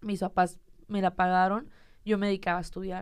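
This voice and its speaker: Flat, monotone delivery at a moderate pace. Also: woman. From Mexico, Monterrey. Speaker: content creator. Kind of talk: casual chat.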